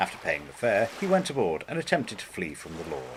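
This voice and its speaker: His delivery is rather quick. Clear background noise accompanies the man. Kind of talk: Bible story narration.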